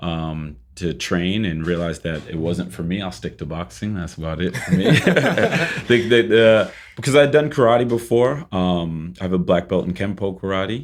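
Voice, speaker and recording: A man with a very deep, low voice speaks at a moderate pace with lively intonation and hardly any pauses, with an American accent. Noticeable background noise is present. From Boston, Massachusetts. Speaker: fitness and boxing trainer, gym co-founder. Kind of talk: casual interview chat.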